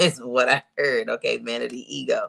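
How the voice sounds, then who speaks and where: A man at a moderate pace in a dry, close sound with no echo. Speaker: tarot reader livestream host. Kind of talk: tarot reading livestream.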